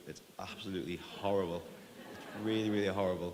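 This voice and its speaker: A man with an Irish accent at a very fast pace, fairly even in intonation, with audible room echo. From Ireland. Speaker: tech company CEO. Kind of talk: conference talk.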